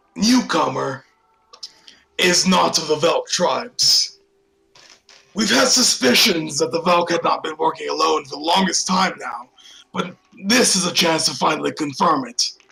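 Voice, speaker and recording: Using a put-on character voice, a man speaks high at a moderate pace with lively intonation and long, frequent pauses. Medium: actual play. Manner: commanding, curt.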